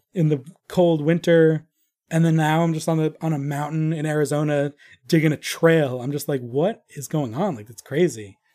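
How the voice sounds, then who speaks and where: On a very clean recording with a silent background, a man with a fairly high voice and a dark, mellow tone talks at a moderate pace, with ordinary pitch variation and big swings in loudness. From Long Island, New York. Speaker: ranch wrangler and musician. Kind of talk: casual chat.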